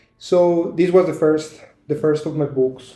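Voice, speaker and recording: A man speaks with a Spanish accent at a moderate pace. His intonation is fairly even, with music in the background. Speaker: fantasy author. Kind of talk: casual promotional talk to camera. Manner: halting, many fillers and restarts.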